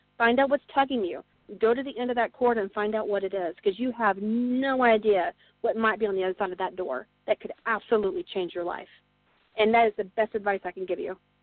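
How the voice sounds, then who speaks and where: A woman talks at a fairly quick pace with music playing behind her. Her voice sits fairly high and rises and falls in an ordinary way. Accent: American. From Texas (Burleson). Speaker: author. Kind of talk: interview.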